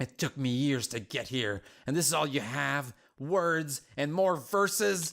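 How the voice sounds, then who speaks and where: Putting on a character voice, a man speaks at a fairly slow pace with lively intonation and a fairly high pitch on a very clean recording with a silent background. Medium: game stream. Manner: blunt, impatient.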